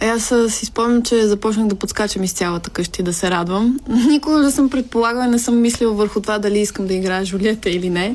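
Talking at a very fast pace, a woman uses a fairly high pitch with ordinary pitch variation. Noticeable background noise can be heard. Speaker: actress. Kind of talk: casual chat.

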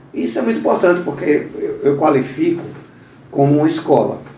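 A man at a fairly quick pace with ordinary pitch variation, audible room echo and noticeable background noise. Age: 50s. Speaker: podcast host. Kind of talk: interview.

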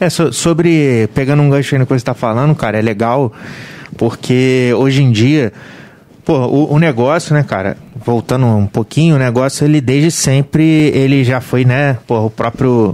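A man with a plain, everyday voice speaks at a moderate pace with a medium pitch. His pitch variation is ordinary and his loudness very even. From Volta Redonda, Rio de Janeiro state, Brazil. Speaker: bar and restaurant owner. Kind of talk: casual chat.

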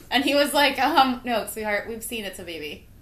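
A woman's high-pitched voice, fairly quick and lively in intonation, over noticeable background noise. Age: 30s. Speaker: podcast host. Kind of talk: casual chat. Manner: animated.

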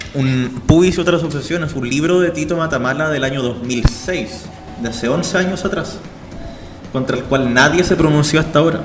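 A man with a fairly high voice at a moderate pace, ordinary pitch variation, music in the background and audible room echo. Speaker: student radio host. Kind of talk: radio talk show.

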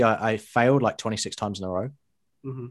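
At a fairly quick pace, a man with a British accent speaks at medium pitch on a very clean recording with a silent background. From England. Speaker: guest, online publisher. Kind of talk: casual interview chat. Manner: humorous, jokey.

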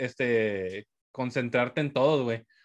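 A man's unremarkable speaking voice at a fairly slow pace with ordinary pitch variation over a quiet background. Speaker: podcast host. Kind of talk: casual chat. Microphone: volume goes up and down, far from mic.

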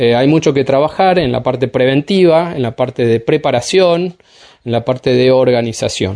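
This man has a dark, mellow tone and a medium pitch. He keeps a moderate pace with ordinary pitch variation. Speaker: fire specialist. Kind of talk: radio interview.

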